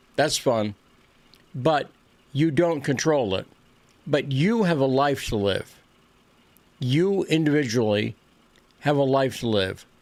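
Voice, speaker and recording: A man with an American accent speaks at a very slow pace, leaving long, frequent pauses. His intonation is lively. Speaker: political commentator. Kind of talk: monologue presentation. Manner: halting; not smooth.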